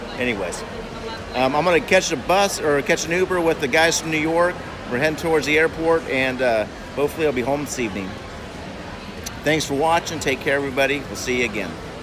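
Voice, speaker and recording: A man talks at a very fast pace, with noticeable background noise behind him. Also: ordinary pitch variation. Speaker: zoo horticulturist vlogger. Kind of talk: casual vlog chat. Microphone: phone near.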